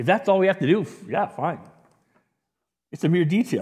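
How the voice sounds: A man speaks at a high pitch with lively intonation and a moderate pace. His tone is slightly mellow with a slightly husky edge.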